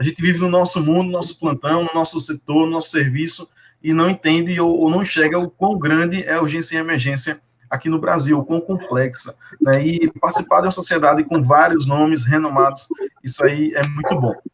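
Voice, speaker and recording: This man speaks with a northeastern Brazilian accent. His pitch is fairly high and his intonation fairly even. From Brazilian Northeast. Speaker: emergency nurse, nursing manager. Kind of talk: live webinar panel talk.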